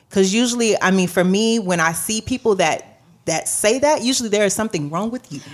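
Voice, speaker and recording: Lively intonation and a fairly quick pace mark a plain, everyday voice. The recording is very clean, with a silent background. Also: woman. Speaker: podcast co-host. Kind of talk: casual chat.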